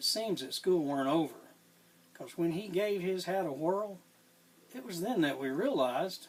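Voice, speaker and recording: A man's high voice with an American accent, lively intonation and a moderate pace. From Tennessee. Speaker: cowboy poet. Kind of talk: poetry reading.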